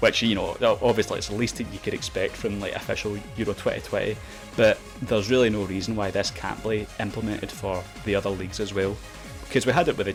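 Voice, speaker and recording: Over music in the background, a man with a Glaswegian accent talks at a very fast pace. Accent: Glaswegian Scottish. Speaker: video game YouTuber. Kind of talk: casual talk to camera. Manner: hesitant, lots of filler words.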